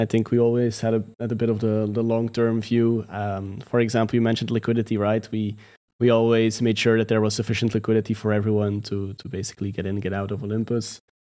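At a very fast pace with hardly any pauses, a man with a non-native accent speaks at medium pitch. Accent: non-American, foreign-accented English. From outside the United States. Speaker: crypto project community leader. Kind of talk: casual interview. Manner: hesitant, filler-heavy.

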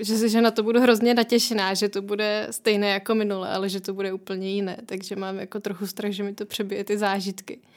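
A woman talks at a medium pitch and a fairly quick pace. Her intonation stays monotone and flat. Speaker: traveller and author. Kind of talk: interview.

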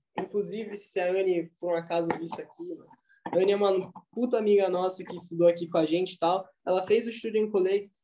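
A man talks at a fairly quick pace with a high pitch and a dark, mellow tone. His loudness swings widely. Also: fairly even intonation. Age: 20s. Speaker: university student and startup founder. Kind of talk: casual chat.

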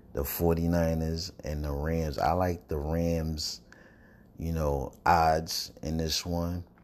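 A man speaks in an American accent at a very slow pace. His pitch is very deep and low, his intonation monotone and flat. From Brooklyn, New York. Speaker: podcast host. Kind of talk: casual monologue. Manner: loose, filler-heavy delivery.

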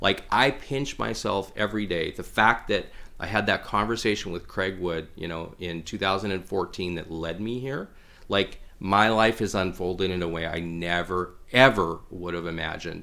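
Very deep, low male voice in a Canadian prairie accent, bright and sharp in tone, at a moderate pace with ordinary pitch variation. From Saskatchewan, Canada (Regina). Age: 40s. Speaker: businessman and hunter. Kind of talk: casual interview.

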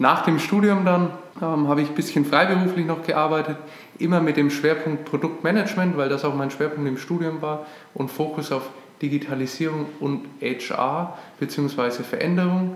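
The speaker has a Franconian accent and fairly even intonation, heard with audible room echo and noticeable background noise. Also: man, fairly high pitch for a man, moderate pace. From Franconia, Nuremberg, Germany. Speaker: podcast co-host, business founder. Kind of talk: casual podcast introduction.

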